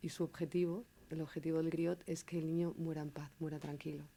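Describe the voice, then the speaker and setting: Her tone dark and mellow, a woman speaks in a flat monotone at a fairly low pitch. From León, Spain. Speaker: storyteller and writer. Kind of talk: interview answer.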